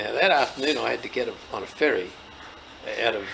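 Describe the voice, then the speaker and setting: A man with a strong Australian accent amid noticeable background noise. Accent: broad Australian. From Australia, rural New South Wales (Leeton). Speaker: farmer and agricultural trade representative. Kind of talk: storytelling interview.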